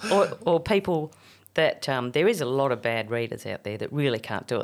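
In an Australian accent, a woman speaks at a fairly quick pace with a very deep, low pitch. The recording is very clean, and the background is silent. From Australia (Tamworth, NSW). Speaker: podcast host and children's show performer. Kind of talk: casual chat. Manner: animated, laughing often.

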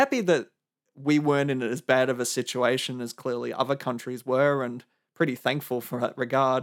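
A man with an Australian accent on a very clean recording against a silent background. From Melbourne, Australia. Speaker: podcast host. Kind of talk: solo monologue podcast.

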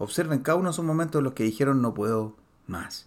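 Very fast and animated, a man speaks at a fairly high pitch with ordinary pitch variation in a very clean recording with a silent background. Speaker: podcast host, personal development coach. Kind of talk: motivational monologue. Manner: halting, many fillers.

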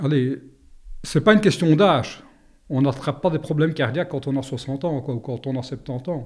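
The voice is somewhat breathy, with ordinary pitch variation at a moderate pace. The recording is very clean, with a silent background. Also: man, fairly high pitch for a man. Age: 60s. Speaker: retired soldier and heart patient. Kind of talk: personal testimony interview. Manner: hesitant, many fillers.

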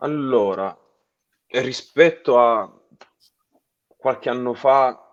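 The man's voice is medium in pitch, with ordinary variation. He delivers his words at a very slow pace. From Salento, Apulia, southern Italy. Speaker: keyboard player in a rock band. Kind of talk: interview.

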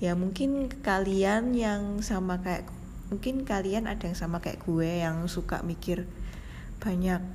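A woman whispers at a fairly slow pace, her voice somewhat breathy. The room echo is audible. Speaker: podcast host. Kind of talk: personal monologue. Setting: hospital. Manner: semi-whispered. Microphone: too quiet.

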